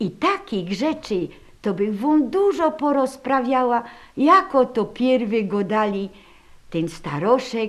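A woman speaks with a Silesian accent. Her pace is very slow. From Upper Silesia, Poland. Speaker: caretaker of a regional heritage room. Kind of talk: storytelling about holiday traditions.

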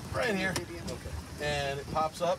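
A man is speaking. Music plays in the background. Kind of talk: safety briefing. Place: boat. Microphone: phone near.

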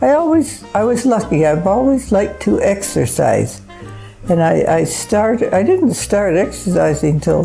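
A woman at a fairly slow pace, faint music in the background. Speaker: grandmother giving advice. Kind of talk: interview answer. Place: home room.

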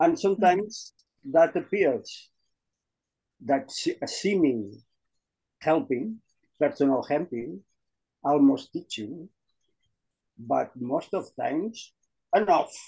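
Leaving long, frequent pauses, a man speaks at a very slow pace. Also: quiet background. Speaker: group session participant. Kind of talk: spiritual sharing. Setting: video call. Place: home room. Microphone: video call.

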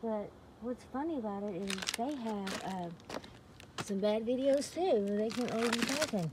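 Speech moves at a moderate pace over loud background noise. The sound is dry, with no echo. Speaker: vlogger sorting dumpster finds. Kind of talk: casual vlog chat. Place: garden. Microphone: phone near.

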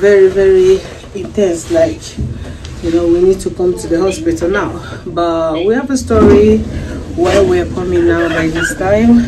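A woman at a fairly slow pace over loud background noise. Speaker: expectant mother vlogger. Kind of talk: casual vlog chat. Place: hall. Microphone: phone near.

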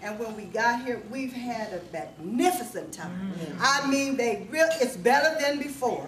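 A woman at a moderate pace with a high pitch and very wide pitch swings, over noticeable background noise. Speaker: family member. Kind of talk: casual family reunion talk. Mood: warm, grateful, emotional. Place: hall. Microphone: camera far.

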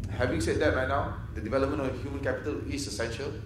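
Talking at a fairly quick pace, a man is heard over noticeable background noise with audible room echo. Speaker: presenter. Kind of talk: conference presentation. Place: hall. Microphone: podium.

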